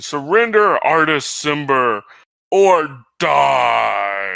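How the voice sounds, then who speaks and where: A man's put-on character voice, fairly high in pitch and very slow in pace. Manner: threatening.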